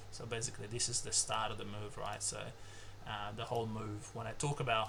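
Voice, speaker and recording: Speaking with an Australian accent, a man at medium pitch keeps a monotone, flat intonation, with audible room echo and noticeable background noise. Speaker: trading educator. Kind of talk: tutorial. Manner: hesitant, many filler words; casual.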